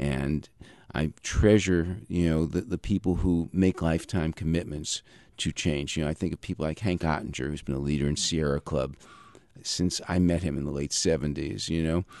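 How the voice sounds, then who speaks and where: This man's very deep, low voice is captured with a dry, close sound and no echo. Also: ordinary pitch variation, moderate pace. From New York metro area. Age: 60s. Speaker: peace activist. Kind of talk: radio interview.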